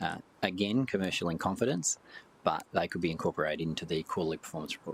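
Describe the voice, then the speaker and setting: A man's very deep, low voice at a very fast pace, in an Australian accent. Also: ordinary pitch variation. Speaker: council officer. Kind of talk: committee meeting discussion.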